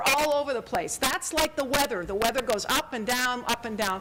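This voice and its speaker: Over noticeable background noise, a woman uses a raised, projected voice, high in pitch, with lively intonation at a moderate pace. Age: 60s. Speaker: climate science presenter. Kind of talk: public talk with slides. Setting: public forum.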